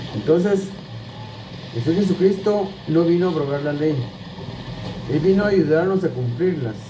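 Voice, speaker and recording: A high-pitched male voice at a moderate pace, with ordinary pitch variation, long, frequent pauses, audible room echo and music in the background. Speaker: Bible teacher. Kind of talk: Bible teaching. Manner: repetitive, halting restarts.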